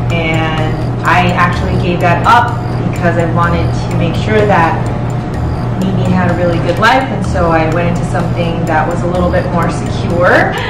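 Over music in the background, a woman speaks at a moderate pace. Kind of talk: interview answer. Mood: warm, personal storytelling. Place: home room.

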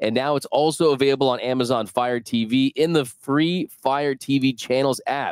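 A man at a moderate pace, with fairly even intonation, a dry sound with no echo and a quiet background. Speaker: sports podcast host. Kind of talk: casual sports talk. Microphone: headset.

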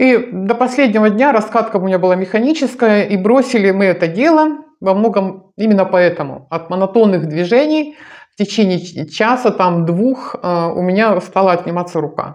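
Her voice is warm and animated, a woman at medium pitch talking at a moderate pace with lively intonation over a quiet background. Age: 60s. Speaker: video blogger on dance and healthy ageing; lifestyle blogger. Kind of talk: direct-to-camera monologue. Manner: warm, animated address to viewers. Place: home room. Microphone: lapel.

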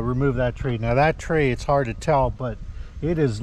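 The speech moves at a moderate pace, with light background noise and a dry sound with no echo. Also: man. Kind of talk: casual vlog chat. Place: garden. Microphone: phone near.

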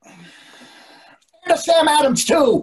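A man puts on a character voice at extremely high pitch. He speaks at a very slow pace. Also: ordinary pitch variation.

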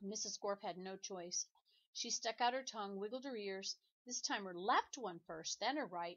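Against a quiet background, the speaker does plain reading aloud.

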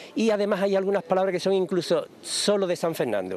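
A man's high voice at a moderate pace, dry with no echo, over light background noise. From Andalusia, Jerez. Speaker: book presenter. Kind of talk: interview. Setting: outdoors. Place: street. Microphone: handheld.

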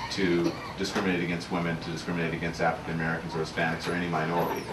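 A man rattles along very fast with noticeable background noise behind him. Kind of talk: audience answer at a book talk. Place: shop. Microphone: podium.

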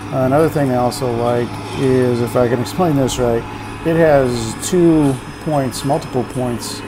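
A fairly slow pace with noticeable background noise. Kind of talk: casual vlog commentary. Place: farm machine.

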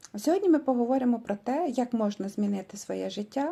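A woman talks at a moderate pace and a fairly high pitch, with lively intonation and a dark, mellow tone. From Ukraine, Vinnytsia region, rural village. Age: 50s. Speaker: vlogger. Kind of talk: motivational sales pitch.

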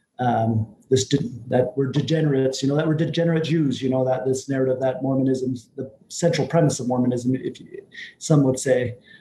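With light background noise behind him, a man with an American accent talks at a fairly quick pace and medium pitch with fairly even intonation. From US Northern Plains, Northern Cheyenne. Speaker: panel guest. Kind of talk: panel discussion. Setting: video call. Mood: friendly, smiling. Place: office. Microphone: video call.

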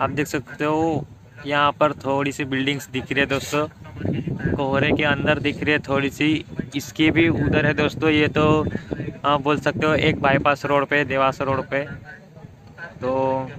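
Fairly slow speech with long, frequent pauses, a dry sound without echo, and noticeable background noise. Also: man. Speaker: vlogger. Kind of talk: casual vlog chat. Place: open country. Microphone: phone near.

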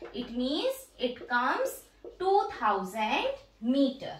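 A woman's voice with audible room echo. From India. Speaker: teacher and educational YouTuber; teacher, educational YouTuber. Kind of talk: demo teaching tutorial. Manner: teacherly, explanatory.

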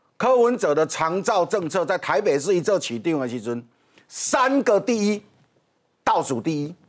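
A man speaks at a high pitch with very wide pitch swings. The background is quiet. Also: moderate pace. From Taiwan. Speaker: political commentator. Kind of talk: TV political talk show commentary. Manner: animated, mocking. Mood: mocking, critical. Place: studio. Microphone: lapel.

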